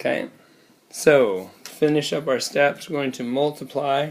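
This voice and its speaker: Pitched fairly high, a man speaks at a very slow pace with ordinary pitch variation. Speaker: math teacher. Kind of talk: classroom math tutorial. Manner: casual, hesitant with fillers.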